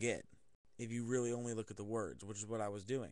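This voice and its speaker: Over a quiet background, a man with a medium pitch speaks in a fairly even intonation. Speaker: video blogger. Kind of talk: casual monologue. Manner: monotone; halting.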